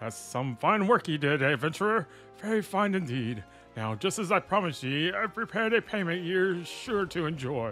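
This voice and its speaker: A man speaks at a moderate pace in a put-on character voice, high-pitched with very wide pitch swings. Clear music plays in the background. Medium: role play.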